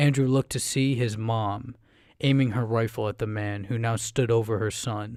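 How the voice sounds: The clip carries a natural reading voice.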